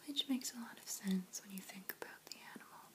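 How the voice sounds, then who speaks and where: Someone whispers in a calm, relaxed tone. Background noise is noticeable. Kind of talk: ASMR show and tell. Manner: whispered, soft-spoken.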